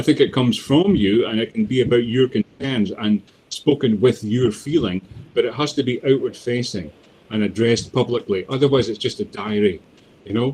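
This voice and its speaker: A man with a Scottish accent, medium pitch, a dark, mellow tone, a somewhat breathy quality, ordinary pitch variation and a fairly quick pace. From Scotland, Dundee. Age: 50s. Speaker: poet. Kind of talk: interview. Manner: halting.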